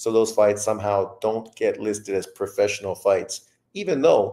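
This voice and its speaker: A man talks at a moderate pace. The recording is very clean, with a silent background. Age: 50s. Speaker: boxing commentator. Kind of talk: casual chat.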